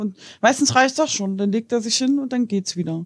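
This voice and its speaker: Woman's fairly high, somewhat breathy voice at a moderate pace, ordinary pitch variation, dry and close with no echo. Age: 30s. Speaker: partner of a person with depression. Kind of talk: casual interview.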